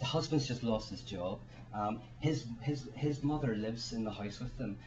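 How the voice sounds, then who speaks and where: A man with a Northern Irish accent speaks at a medium pitch with ordinary pitch variation, and audible room echo surrounds his voice. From Ireland. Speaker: author and speaker. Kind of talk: panel talk. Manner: fast; halting, repeats words.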